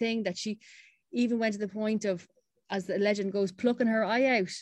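A woman's voice with fairly even intonation, dry and close with no echo. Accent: Irish. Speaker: campaign founder and CEO. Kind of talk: radio interview.

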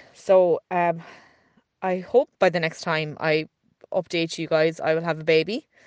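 A woman's very deep, low voice at a moderate pace, in a dry, close sound with no echo. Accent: Irish. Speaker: podcast producer and co-host. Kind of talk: recorded voice note update. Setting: voice note recorded at home.

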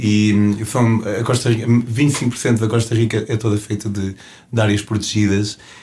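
Speaking in a flat monotone, a man with a European Portuguese accent sounds somewhat breathy. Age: 30s. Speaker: travel show host and hitchhiking traveler. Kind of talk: interview. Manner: hesitant with repetitions.

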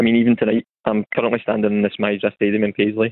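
In a West of Scotland accent, a man speaks at a very fast pace with monotone, flat intonation. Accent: West of Scotland Scottish. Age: 30s. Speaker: mental health campaigner. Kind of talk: testimony. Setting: phone call.

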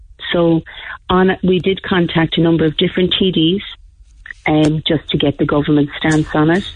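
A woman with an Irish accent and fairly even intonation. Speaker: parent. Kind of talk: radio call-in. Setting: phone call.

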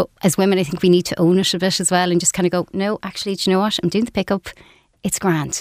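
With an Irish accent, a woman speaks very fast at a medium pitch in a monotone, flat way, the sound dry and close with no echo. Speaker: business executive. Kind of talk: radio interview. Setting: studio.

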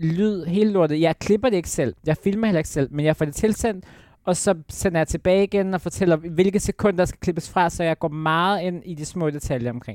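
A woman with an ordinary speaking voice and fairly low pitch talks at a fairly quick pace with hardly any pauses, ordinary pitch variation, and big swings in loudness. The recording is very clean with a silent background, and the sound is dry and close with no echo. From Jutland, Denmark. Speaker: former reality TV contestant. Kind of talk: casual interview chat. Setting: studio.

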